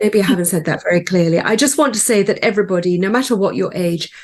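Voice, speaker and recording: At a very fast pace, a woman talks at a medium pitch with vocal fry and ordinary pitch variation. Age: 60s. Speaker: business owner. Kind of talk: interview.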